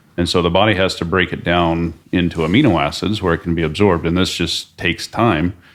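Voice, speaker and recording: A man with an American accent, very deep and low in pitch, at a fairly quick pace. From Oklahoma. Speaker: supplement company president. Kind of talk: podcast interview.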